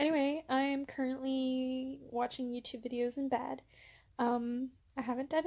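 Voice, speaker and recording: Soft-spoken and monotone, with flat intonation, a woman speaks at a fairly slow pace with a high pitch. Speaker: booktuber vlogger. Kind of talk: casual vlog chat. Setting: bedroom at parents' home. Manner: soft-spoken, talking quietly; hesitant, many fillers.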